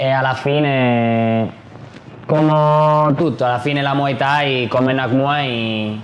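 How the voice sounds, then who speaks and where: A man with a non-native accent speaks at a very slow pace, with a medium pitch, fairly even intonation and very even loudness. Audible room echo and noticeable background noise fill the recording. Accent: non-native Italian speaker. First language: Spanish (speaking Italian). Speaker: Muay Thai fighter and event promoter. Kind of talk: casual interview chat. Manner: halting.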